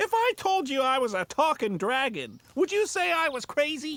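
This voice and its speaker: Over faint music in the background, a cartoonish character voice pitched high makes very wide pitch swings. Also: moderate pace. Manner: smug, playful.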